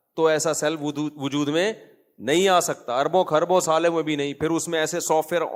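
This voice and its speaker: A man is speaking. His pitch is high. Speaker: Islamic scholar giving a lecture. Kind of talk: Islamic sermon / lecture with humorous anecdotes. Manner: conversational, rhetorical questions, humorous.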